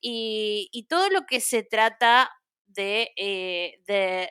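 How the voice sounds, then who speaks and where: Recorded very cleanly against a silent background, with dry, close sound and no echo, a woman with an Argentine accent speaks in a bright, sharp, fairly high voice with lively intonation. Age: 30s. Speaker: podcast guest, Disney fan. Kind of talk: casual chat.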